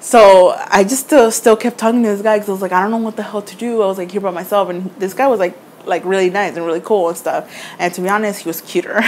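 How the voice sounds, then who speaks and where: Talking at a very fast pace over noticeable background noise, a woman uses a medium pitch with ordinary pitch variation. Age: 20s. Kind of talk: casual storytime to camera.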